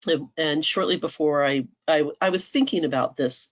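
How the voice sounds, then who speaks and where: Over a quiet background, a woman with a very deep, low pitch speaks at a moderate pace. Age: 60s. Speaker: workshop speaker, veteran homeschooling mother. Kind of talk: conference workshop talk. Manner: conversational, with frequent fillers.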